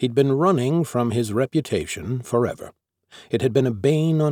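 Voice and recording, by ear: With ordinary pitch variation and a quiet background, the text is read aloud in a natural voice.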